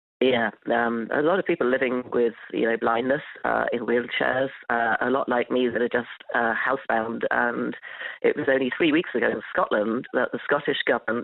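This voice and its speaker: Over noticeable background noise, a man speaks at a moderate pace and medium pitch, with fairly even intonation and very even loudness. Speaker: long covid patient. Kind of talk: interview.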